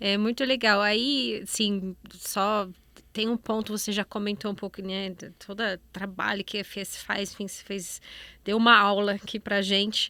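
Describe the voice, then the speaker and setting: In a German accent, a woman with a bright, sharp tone speaks at a fairly slow pace with fairly even intonation and big swings in loudness, on a very clean recording with a silent background. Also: medium pitch for a woman. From Germany. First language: German (speaking Portuguese). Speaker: podcast host. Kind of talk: interview.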